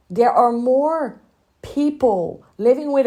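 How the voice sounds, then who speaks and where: The woman's pitch is high, yet her tone is dark and mellow. She speaks at a fairly slow pace. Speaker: women's spiritual coach and podcast host. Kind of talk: inspirational monologue. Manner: earnest, emotional.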